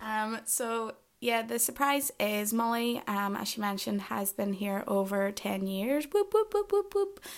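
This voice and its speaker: Speaking with a Northern Irish accent, a woman goes at a fairly slow pace with hardly any pauses in a very clean recording with a silent background. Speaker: podcast host. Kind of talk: casual chat.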